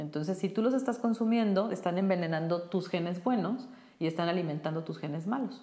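At a fairly quick pace, a woman with a normal speaking voice talks at medium pitch with ordinary pitch variation. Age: 40s. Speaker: brain coach. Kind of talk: interview.

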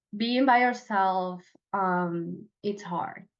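A woman speaks with a Venezuelan accent. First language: Spanish. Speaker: professional organizer. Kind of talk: casual interview.

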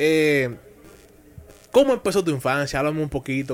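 A man with a fairly high pitch, lively intonation, and a very fast pace, with music in the background. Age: young. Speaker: radio sports host. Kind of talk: radio interview. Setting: radio studio.

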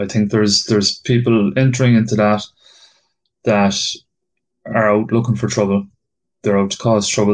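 At a moderate pace, a man with an Irish accent talks with fairly even intonation over a quiet background. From Ireland. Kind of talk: casual chat.

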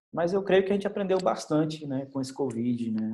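A man speaks with lively intonation. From Brazil, Bahia (Salvador). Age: 30s. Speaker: teacher and doctoral student. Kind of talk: testimony. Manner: halting, many fillers.

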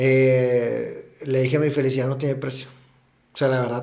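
This man's voice sits fairly high in pitch. The room adds audible echo. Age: 30s. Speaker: podcast co-host and teacher. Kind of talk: casual chat.

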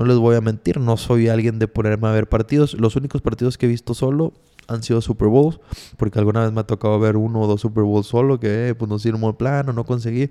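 Here a man speaks at a fairly quick pace in a dark, mellow tone. His intonation is monotone and flat. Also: medium pitch for a man. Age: 20s. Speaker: podcast host. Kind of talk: casual monologue.

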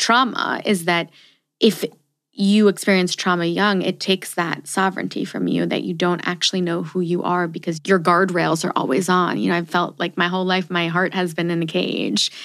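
This is a plain, everyday voice with fairly even intonation. It moves at a moderate pace, and the recording is very clean with a silent background. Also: woman. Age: 30s. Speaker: podcast host. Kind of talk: casual interview.

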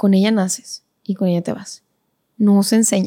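In a very clean recording with a silent background, a woman speaks at a moderate pace with fairly even intonation and a dark, mellow tone, the sound dry and close with no echo. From Monterrey, Nuevo León, Mexico. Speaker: professional ballet dancer and teacher. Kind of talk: casual interview conversation.

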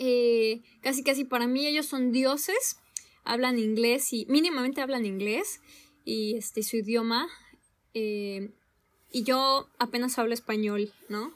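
Very slowly, a woman speaks in a high pitch with ordinary pitch variation. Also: very clean recording, silent background. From Mexico, Zihuatanejo (coast). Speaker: podcast co-host. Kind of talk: casual chat.

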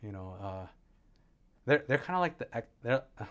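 A man's lively intonation comes through in a very clean recording with a silent background. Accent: Californian. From Southern California. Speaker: county recycled water engineer. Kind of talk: interview. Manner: halting, many repetitions.

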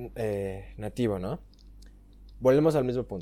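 A man with a Mexican accent and a dark, mellow tone at a moderate pace, in a very clean recording with a silent background. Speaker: podcast host. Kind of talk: casual chat.

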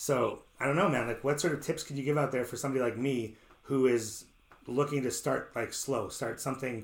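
Speaking at a fairly quick pace, a man with a Canadian accent has a medium-pitched, somewhat breathy voice. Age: 30s. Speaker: radio host and amateur pro wrestler. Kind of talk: casual interview. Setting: radio studio. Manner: animated.

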